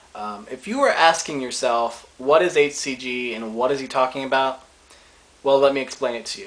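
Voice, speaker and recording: A man's voice at a medium pitch, moderate pace, and ordinary pitch variation. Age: 20s. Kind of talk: casual talk to camera.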